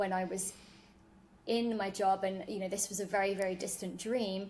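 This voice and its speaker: With a British accent, a woman speaks at a medium pitch and with fairly even intonation. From United Kingdom. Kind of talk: podcast interview.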